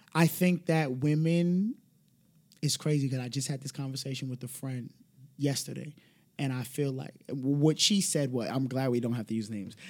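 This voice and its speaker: In a New York accent, a medium-pitched man talks at a moderate pace with ordinary pitch variation. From the Bronx, New York. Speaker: podcast guest. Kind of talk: casual chat.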